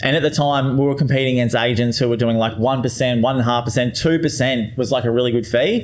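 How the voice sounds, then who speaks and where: A man at medium pitch talks very fast with hardly any pauses. His loudness is very even, and noticeable background noise is present. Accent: Australian. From Australia (Queensland). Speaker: real estate agent, former tradesman. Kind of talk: casual podcast interview. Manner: energetic, upbeat.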